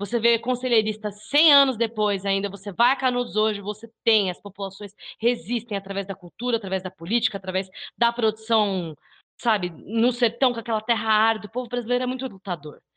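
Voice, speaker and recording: A woman talks at a fairly quick pace in a Brazilian accent. Her pitch is fairly high. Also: ordinary pitch variation. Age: 20s. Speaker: YouTuber and podcaster. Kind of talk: casual discussion.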